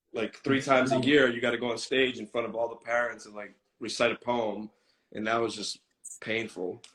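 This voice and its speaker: A man with a Boston accent talks at a moderate pace. His pitch is medium and his intonation fairly even. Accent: US Boston-area English. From Boston, US (Greek American family). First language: Greek. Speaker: content creator. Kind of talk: interview. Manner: casual, relaxed.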